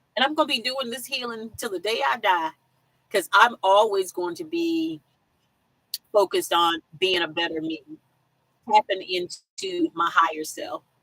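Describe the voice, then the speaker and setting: An animated voice with an American accent, bright and sharp in tone, at a moderate pace, with very wide pitch swings, big shifts in loudness, long, frequent pauses and a dry, close sound with no echo. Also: woman, medium pitch for a woman. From South Carolina. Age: 50s. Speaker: van life vlogger. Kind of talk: live stream chat. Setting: live stream from campsite with weak signal.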